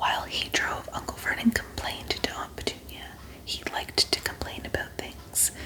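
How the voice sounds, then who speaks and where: A woman's whisper at a fairly slow pace over noticeable background noise. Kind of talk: ASMR audiobook reading for sleep. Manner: soft, calm.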